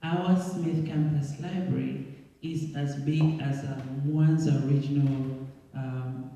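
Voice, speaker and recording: Over noticeable background noise and audible room echo, a man with an East African accent talks very slowly in a fairly high, monotone voice with flat intonation. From Tanzania. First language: Swahili. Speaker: school alumnus and guest speaker. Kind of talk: presentation with Q&A.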